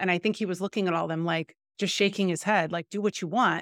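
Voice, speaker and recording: This is an ordinary speaking voice: a woman at a medium pitch with fairly even intonation, recorded dry and close with no echo against a silent background on a very clean recording. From US Midwest. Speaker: podcast host and coach. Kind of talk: interview.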